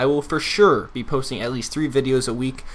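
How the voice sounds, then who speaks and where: Mumbling at a fairly quick pace, a man with an American accent speaks at a medium pitch. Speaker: gaming YouTuber. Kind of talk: gameplay commentary and storytelling. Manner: casual, rambling.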